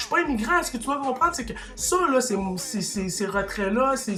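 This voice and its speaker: Over noticeable background noise, a man with a Quebec accent speaks in an animated tone at a fairly quick pace. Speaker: YouTuber commentator. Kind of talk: opinion rant to camera. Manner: animated, heated; halting, repeats words.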